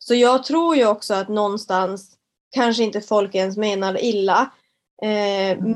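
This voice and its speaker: A woman talks at medium pitch with ordinary pitch variation and a fairly slow pace. She has an unremarkable speaking voice. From northern Sweden, Kiruna area. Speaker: fitness entrepreneur and personal trainer. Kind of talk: casual interview.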